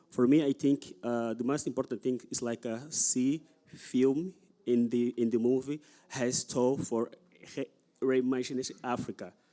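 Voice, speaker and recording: Speaking at a moderate pace with a non-native accent, a man has a dark, mellow tone and medium pitch. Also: fairly even intonation. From Angola. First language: Portuguese. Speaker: audience member, film club organiser. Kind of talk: audience comment. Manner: halting.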